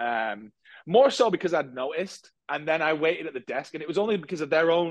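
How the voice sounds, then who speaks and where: Here a man speaks in a British accent. His fairly high pitch shows ordinary variation. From UK. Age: 30s. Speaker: marketing agency founder. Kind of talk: casual interview chat.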